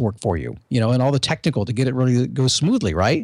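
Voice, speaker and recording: Over a silent background on a very clean recording, a man speaks very fast at a medium pitch with ordinary pitch variation. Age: 50s. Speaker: motivational podcaster, former radio host. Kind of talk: interview.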